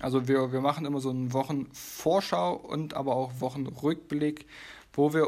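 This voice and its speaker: The speaker has an unremarkable speaking voice, keeps a moderate pace and uses fairly even intonation. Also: man. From Leipzig, Saxony. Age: 20s. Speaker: podcast co-host, physiotherapist. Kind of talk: casual podcast chat.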